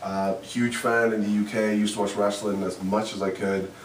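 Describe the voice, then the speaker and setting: A man speaks in monotone, flat intonation with a Welsh accent. Noticeable background noise and audible room echo are present. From Wales, Swansea. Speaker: professional wrestler. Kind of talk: interview. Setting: hotel room. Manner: halting.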